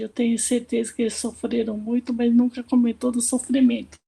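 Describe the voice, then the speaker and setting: The speaker is a woman whose voice sits high in pitch. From Brazil, Marília, São Paulo state (Japanese-Brazilian family). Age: 70s. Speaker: panelist. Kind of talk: personal life story.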